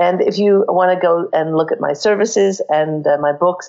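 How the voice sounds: A woman talks at a fairly low pitch with fairly even intonation and a slightly mellow tone. Her voice is croaky, with vocal fry.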